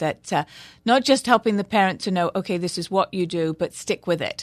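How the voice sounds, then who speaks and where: Heard in a dry, close sound with no echo, a woman with an English accent speaks fairly quickly with ordinary pitch variation. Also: quiet background. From England. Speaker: childhood brain development specialist. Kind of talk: radio interview. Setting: studio.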